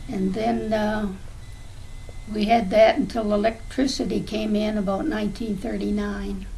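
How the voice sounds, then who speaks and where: A woman's medium-pitched voice at a fairly slow pace, with ordinary pitch variation, audible room echo and noticeable background noise. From southwestern Ontario, Canada. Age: 80s+. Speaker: grandmother interviewed about the past. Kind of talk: oral history interview. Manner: hesitant, with many fillers.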